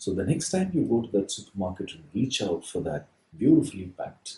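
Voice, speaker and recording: Here a man speaks with a dark, mellow tone and a somewhat breathy sound. His intonation is lively. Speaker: baker. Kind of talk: lecture.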